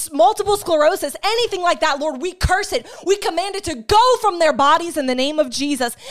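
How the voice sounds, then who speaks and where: A woman speaks at an extremely high pitch with an animated, warm tone and lively intonation. Noticeable background noise runs behind her. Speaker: online preacher. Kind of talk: fervent prayer, spoken as an intercession over viewers; sermon-style teaching on healing. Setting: live online broadcast. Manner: intense, earnest and pleading, with a rising rhythm; animated, warm, encouraging.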